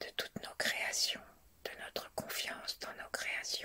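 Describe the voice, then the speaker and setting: A woman's calm whisper at a very slow pace. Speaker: guided meditation teacher. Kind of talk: whispered guided meditation. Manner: whispered, slow, calm.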